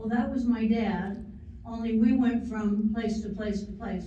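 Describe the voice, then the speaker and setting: Monotone, flat intonation from a woman with a fairly high pitch, plus audible room echo and noticeable background noise. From US Great Plains, western Nebraska. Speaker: woman telling her life story. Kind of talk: life story talk. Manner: loud.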